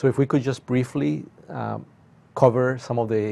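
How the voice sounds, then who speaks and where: Pitch shifts in an ordinary way as this man talks. His tempo is moderate. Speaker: university professor guest. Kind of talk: interview answer. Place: studio. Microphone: lapel.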